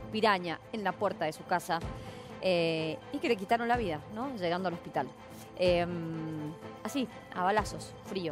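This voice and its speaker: Lively intonation and long, frequent pauses come through a dry sound with no echo, with clear music in the background. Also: woman. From Mendoza, Argentina. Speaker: TV news anchor. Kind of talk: live TV news commentary. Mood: indignant, emphatic. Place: studio.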